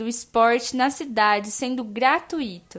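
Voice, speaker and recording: A woman's voice, high in pitch. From São Paulo state, Brazil (interior). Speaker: student podcast co-host. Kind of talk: interview.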